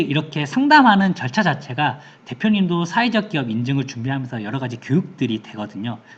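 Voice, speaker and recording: Somewhat breathy, a man talks at a fairly quick pace, his pitch swinging very widely. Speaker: certification consultant presenting info session. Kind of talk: online information session presentation. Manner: fast.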